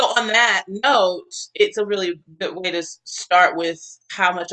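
Using an ordinary speaking voice with an American accent, a woman speaks at a moderate pace in a fairly low pitch, the sound dry and close with no echo. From US South, Atlanta. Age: 40s. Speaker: singer and actor. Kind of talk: casual interview.

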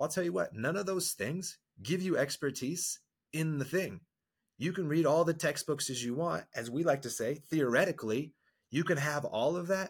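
A man with a normal speaking voice, fairly high in pitch, talks at a moderate pace with ordinary pitch variation on a very clean recording with a silent background. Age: 40s. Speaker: marriage and men's coach. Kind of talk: podcast interview. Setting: studio.

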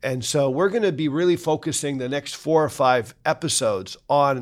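A man's unremarkable speaking voice at medium pitch, in a Canadian accent, with a moderate pace and ordinary pitch variation, on a very clean recording with a silent background. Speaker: financial advisor and podcast host. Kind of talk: casual interview conversation.

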